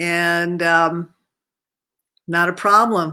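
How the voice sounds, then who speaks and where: A woman's fairly low voice has a bright, sharp tone and monotone, flat intonation. The recording is very clean, with a silent background. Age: 70s. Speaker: healer and life coach. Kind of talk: personal testimony. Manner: casual, with filler words.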